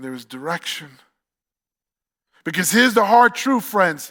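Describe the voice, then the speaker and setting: A man with a New York accent and an extremely high pitch, in a very clean recording with a silent background. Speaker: campus pastor. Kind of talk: sermon. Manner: animated.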